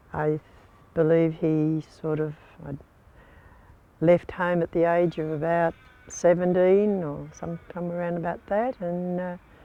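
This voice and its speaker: A woman with an Australian accent speaks at a fairly slow pace in a fairly low pitch, her dark, mellow tone held in a monotone, flat intonation broken by long, frequent pauses. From Port Fairy, Victoria, Australia. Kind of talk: oral history interview.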